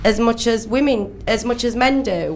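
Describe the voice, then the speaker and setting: Speaking at a fairly slow pace with a northern English accent, a woman with a fairly high pitch keeps her intonation fairly even over noticeable background noise. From Sheffield, northern England. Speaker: club promoter. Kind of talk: radio interview. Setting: radio studio.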